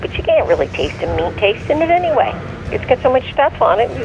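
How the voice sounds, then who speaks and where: Noticeable noise fills the background. Through it, a man talks. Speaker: parent of the host. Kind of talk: casual chat. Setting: phone call. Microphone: phone line recorded via earpiece.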